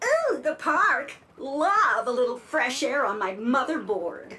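A female-sounding voice in a put-on character role speaks at a high pitch and a fairly slow pace. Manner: sassy.

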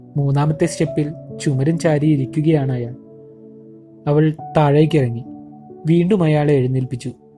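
A man at a fairly high pitch with fairly even intonation, music playing in the background. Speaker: storyteller. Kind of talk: short story narration.

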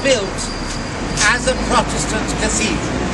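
At a moderate pace, a man speaks over loud background noise. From Wales. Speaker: tour guide. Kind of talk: guided tour commentary. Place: street. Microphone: camera far.

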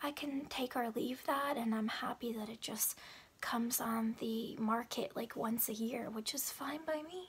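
Soft-spoken and whispering, a woman talks at a fairly slow pace. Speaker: beauty product vlogger. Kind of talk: casual vlog chat. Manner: soft whispered ASMR chat. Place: home room. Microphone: phone near.

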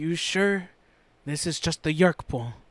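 The speaker uses a put-on character voice that is shaky and fairly slow. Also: man, fairly high pitch for a man. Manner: nervous, shaky.

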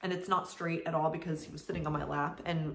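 With monotone, flat intonation, a woman at a fairly low pitch speaks amid audible room echo and light background noise. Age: 30s. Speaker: craft vlogger. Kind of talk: casual chat. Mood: relaxed, friendly. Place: home room. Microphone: camera far.

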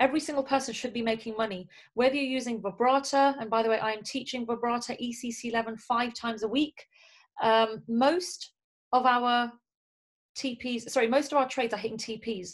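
A woman with a high pitch and fairly even intonation speaks at a moderate pace against a quiet background. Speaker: network marketing team leader and trainer. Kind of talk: motivational training talk. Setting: video call. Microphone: video call.

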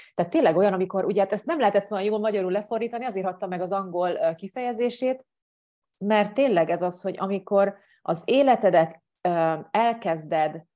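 Over a quiet background, a woman talks at a fairly quick pace in a dark, mellow tone. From Hungary. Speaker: life coach; coach answering program questions. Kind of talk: monologue answering viewer questions. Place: home room. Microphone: earbuds.

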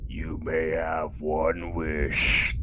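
A man performs a put-on character voice that is booming. Loud background noise fills the recording. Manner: grand, ominous.

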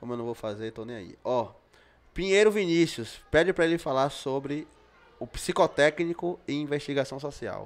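A man's lively intonation with big swings in loudness. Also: moderate pace. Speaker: podcast host. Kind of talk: casual podcast chat. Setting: studio. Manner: informal, profane. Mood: relaxed, joking. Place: studio. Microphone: studio mic.

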